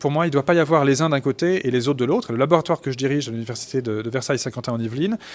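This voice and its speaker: Fairly high in pitch, a man's voice shows ordinary pitch variation. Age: 40s. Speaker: forensic doctor and anthropologist. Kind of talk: interview. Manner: halting, many fillers.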